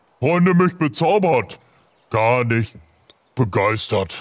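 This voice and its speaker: A man puts on a character voice at a medium pitch. He speaks at a very slow pace. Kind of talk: comic fantasy villain voice. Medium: actual play. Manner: angry, commanding, simple broken speech.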